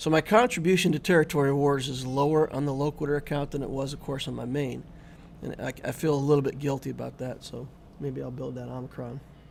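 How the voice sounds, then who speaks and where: A man with a Midwestern American accent talks at a very fast pace. His intonation stays fairly even while his loudness swings widely. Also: fairly high pitch for a man. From US Midwest (South Dakota, then Indiana). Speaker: gaming streamer. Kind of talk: live stream chat. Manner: casual, conversational.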